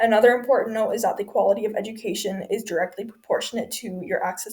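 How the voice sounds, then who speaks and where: Her fairly high voice is somewhat breathy. The woman talks at a fairly quick pace. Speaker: student. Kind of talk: class presentation.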